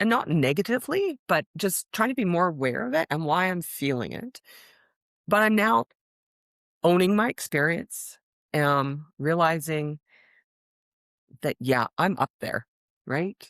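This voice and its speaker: Loud and at a fairly low pitch, a woman speaks at a fairly slow pace with very wide pitch swings and long, frequent pauses, in a very clean recording with a silent background and a dry, close sound with no echo. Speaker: guest on career podcast, risk management professional. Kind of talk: casual interview conversation. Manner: loud, outgoing.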